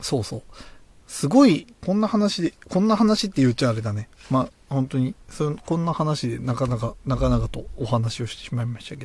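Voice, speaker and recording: A man speaks at a fairly quick pace with a medium pitch and a somewhat breathy voice, showing very wide pitch swings and big swings in loudness. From Japan, Tochigi (Oyama). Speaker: beer podcast host. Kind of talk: casual solo talk. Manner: hesitant, many fillers.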